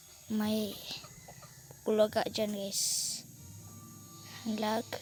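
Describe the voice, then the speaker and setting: A woman's fairly high voice at a very slow pace, with fairly even intonation and noticeable background noise. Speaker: vlogger. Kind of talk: tutorial. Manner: halting.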